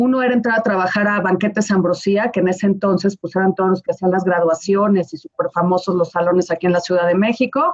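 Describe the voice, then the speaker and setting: Talking at a very fast pace, a woman with a Mexican accent keeps her intonation fairly even. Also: medium pitch for a woman. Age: 40s. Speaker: wedding planner. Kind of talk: casual chat.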